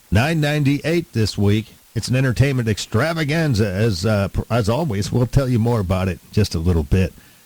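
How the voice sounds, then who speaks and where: This is a normal speaking voice at a fairly quick pace. The intonation is lively, and the loudness swings widely. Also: man, medium pitch for a man. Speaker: radio host. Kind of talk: radio aircheck, upbeat broadcast host patter.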